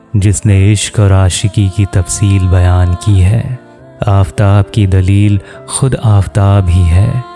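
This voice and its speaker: The pitch varies in an ordinary way. Background music can be heard. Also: man. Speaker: translator and reciter of mystical poetry. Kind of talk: poetry reading with commentary.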